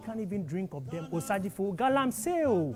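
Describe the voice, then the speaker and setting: With music in the background, a man talks at a moderate pace in a high pitch with very wide pitch swings. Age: young. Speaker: spoken word poet. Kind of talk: spoken word poetry performance. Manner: impassioned, pained.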